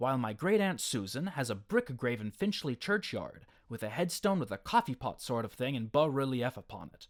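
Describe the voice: This is plain reading aloud.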